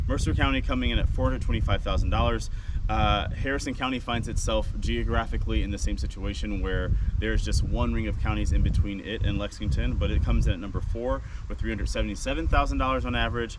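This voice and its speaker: Noticeable background noise and audible room echo fill the recording. Through it, a man talks very fast. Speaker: realtor. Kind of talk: market statistics rundown video.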